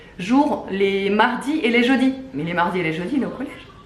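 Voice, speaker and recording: A woman talks with lively intonation. Noticeable background noise and audible room echo surround her voice. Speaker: family vlogger. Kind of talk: casual vlog chat. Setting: at neighbours' home. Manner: hesitant, many fillers; speaking softly.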